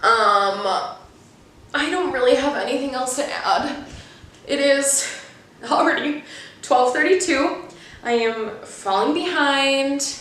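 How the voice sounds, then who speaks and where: A high-pitched woman's voice at a very slow pace, with long, frequent pauses, audible room echo and noticeable background noise. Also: ordinary pitch variation. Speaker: booktuber. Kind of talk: casual vlog talk to camera.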